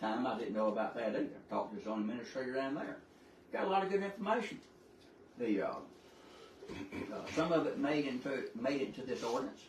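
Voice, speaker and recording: Amid audible room echo and noticeable background noise, a man with a Southern US accent and a medium pitch talks at a fairly quick pace with very wide pitch swings. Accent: Southern US (Georgia). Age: 70s. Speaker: citizen speaker at public meeting. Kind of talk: public comment at county board meeting.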